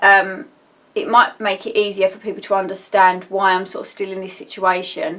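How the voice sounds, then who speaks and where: Woman with an Essex accent, medium pitch, bright and sharp in tone, monotone and flat in intonation yet with big swings in loudness. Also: moderate pace. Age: 30s. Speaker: vlogger. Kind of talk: casual personal vlog. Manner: rambling, halting with fillers.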